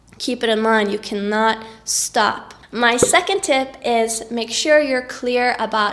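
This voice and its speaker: Someone with a Norwegian accent talks at a fairly slow pace against noticeable background noise. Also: woman. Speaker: vlogger. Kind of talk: tips vlog.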